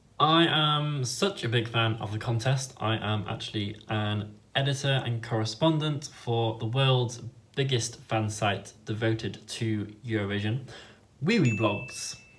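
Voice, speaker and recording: A man's voice at a fairly slow pace, with ordinary pitch variation and audible room echo. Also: medium pitch for a man. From northern England, Leeds, Yorkshire. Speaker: YouTuber and fan site editor. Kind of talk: vlog intro.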